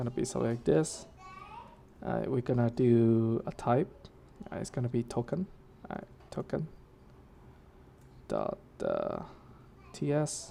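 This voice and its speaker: Noticeable background noise sits behind a woman speaking at a moderate pace. She leaves long, frequent pauses. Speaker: developer workshop instructor. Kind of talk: live coding tutorial. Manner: casual, many fillers.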